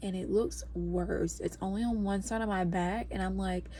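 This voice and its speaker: Audible room echo fills the space. A woman is the one talking. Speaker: podcaster and new mother. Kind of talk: casual vlog chat. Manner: hushed, trying to be quiet; rambling with many fillers.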